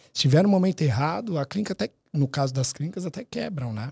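This man's voice has a dark, mellow tone and a fairly high pitch, with lively intonation. He talks at a very fast pace, and the sound is dry and close with no echo. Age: 30s. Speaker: dental marketing business owner. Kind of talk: casual interview.

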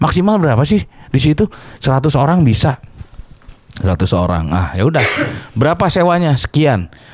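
A man with a fairly high voice and vocal fry speaks at a moderate pace, taking long, frequent pauses. His pitch swings very widely while his loudness stays very even. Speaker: metal musician. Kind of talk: casual interview chat.

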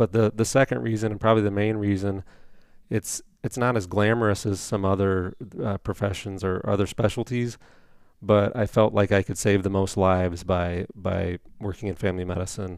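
A man with an American accent has a normal speaking voice and a fairly low pitch. He talks at a moderate pace with fairly even intonation in a very clean recording with a silent background. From Indiana. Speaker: family physician. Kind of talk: interview.

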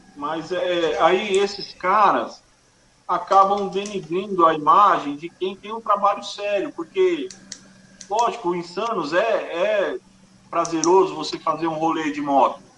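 With noticeable background noise behind him, a man with a high pitch talks at a fairly slow pace, using ordinary pitch variation, big swings in loudness and long, frequent pauses. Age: 40s. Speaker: music event producer. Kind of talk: casual interview.

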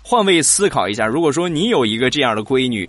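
A man in a Shandong accent, bright and sharp in tone, animated, with lively intonation. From Shandong, China. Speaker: podcast host. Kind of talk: comedic talk show.

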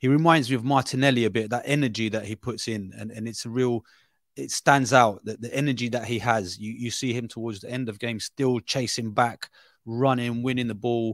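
A man with a London accent speaks at medium pitch and a fairly quick pace, with fairly even intonation and big swings in loudness. The sound is dry and close with no echo. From Brazil, raised in London from age ten. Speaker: football journalist. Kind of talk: casual football analysis chat. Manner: halting, many fillers and repeats.

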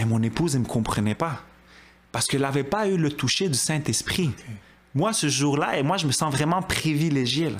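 In a plain, everyday voice, a man talks at a fairly quick pace with lively intonation and very even loudness. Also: fairly high pitch for a man. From Quebec, Montreal (Côte-des-Neiges). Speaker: churchgoer giving testimony. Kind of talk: testimony.

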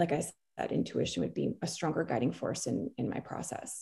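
Heard on a very clean recording with a silent background, a woman with an American accent speaks at a moderate pace in a dark, mellow tone with vocal fry. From New Jersey. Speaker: artist and designer. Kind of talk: casual interview chat. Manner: halting with many fillers.

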